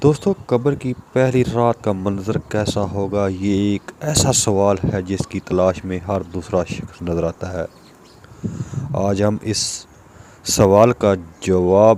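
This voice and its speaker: Noticeable background noise under a man's fairly low voice with ordinary pitch variation. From Pakistan. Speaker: voice over artist. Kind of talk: religious story narration.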